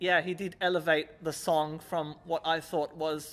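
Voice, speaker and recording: The voice belongs to a man. It has a bright, sharp tone. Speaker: music reviewer. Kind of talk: review commentary chat. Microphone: handheld.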